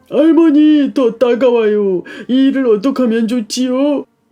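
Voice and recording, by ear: A put-on character voice at a moderate pace. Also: man, extremely high pitch for a man.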